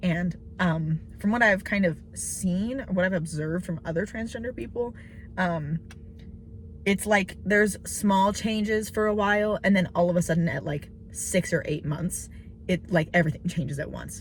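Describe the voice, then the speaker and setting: With vocal fry in her fairly low voice, a woman speaks at a moderate pace with ordinary pitch variation. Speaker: vlogger. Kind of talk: casual vlog monologue. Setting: in a car. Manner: hesitant, many fillers.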